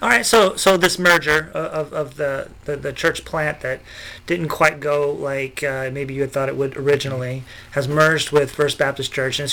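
A man speaks at a moderate pace with fairly even intonation. His fairly high voice has a bright, sharp tone. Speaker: podcast host. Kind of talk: interview, conversational.

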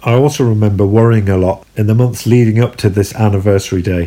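A man with a London accent, fairly low pitch, dark, mellow tone, fairly even intonation and fairly quick pace. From southeast London. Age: 40s. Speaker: podcaster, former Jehovah's Witness. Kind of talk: personal storytelling monologue.

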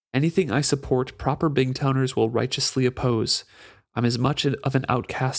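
Reading aloud in a natural voice, the speaker holds a fairly even intonation.

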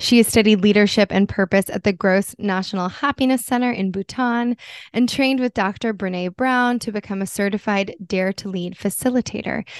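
A woman with an ordinary speaking voice talks at a moderate pace and a medium pitch, with an American accent, fairly even intonation and hardly any pauses. The sound is dry and close with no echo over a quiet background. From US East Coast. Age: 30s. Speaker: podcast co-host. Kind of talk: interview, casual chat.

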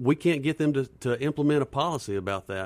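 A man talks at a very fast pace with a Southern US accent and ordinary pitch variation. The sound is dry and close with no echo, on a very clean recording with a silent background. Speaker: police officer and school board candidate. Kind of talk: radio interview. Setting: studio.

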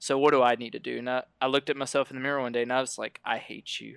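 In a very clean recording with a silent background and a dry, close sound with no echo, a man with an American accent talks at a very fast pace, his medium pitch monotone and flat, his tone bright and sharp. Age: 20s. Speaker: podcast guest, nutrition coaching client. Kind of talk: casual interview, personal testimony.

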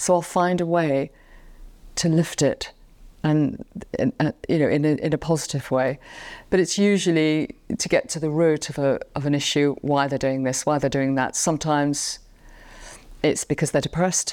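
A woman's very deep, low voice at a moderate pace, with fairly even intonation, long, frequent pauses and a very clean recording over a silent background. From England. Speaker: pet communicator and pianist. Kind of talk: casual interview. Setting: in a friend's living room.

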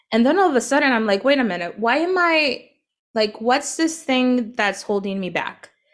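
A woman at a moderate pace, with very wide pitch swings, on a very clean recording with a silent background. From northern Mexico, border town. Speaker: life coach. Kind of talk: casual chat.

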